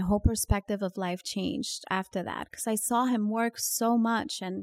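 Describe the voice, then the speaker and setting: Fairly even intonation in a Californian accent, on a very clean recording with a silent background and a dry, close sound with no echo. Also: woman. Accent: Californian-sounding American English. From New York. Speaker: real estate broker. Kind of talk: interview.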